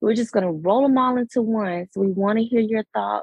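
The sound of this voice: A woman talks at a fairly quick pace with ordinary pitch variation, a raspy voice and vocal fry. A slightly husky edge comes through in a dry, close sound with no echo. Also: medium pitch for a woman.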